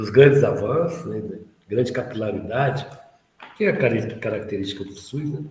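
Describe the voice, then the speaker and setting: A somewhat breathy man speaks with audible room echo. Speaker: course instructor. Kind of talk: online lecture. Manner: slow; halting.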